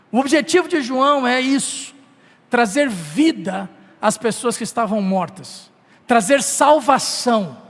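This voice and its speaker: A man's extremely high voice with lively intonation at a very slow pace, over noticeable background noise. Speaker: pastor. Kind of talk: sermon.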